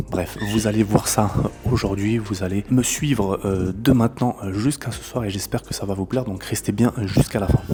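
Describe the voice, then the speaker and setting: Over noticeable background noise, a soft-spoken man talks at a moderate pace, his fairly low pitch held in fairly even intonation. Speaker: e-commerce entrepreneur and business coach. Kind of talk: vlog narration. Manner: casual with many filler words.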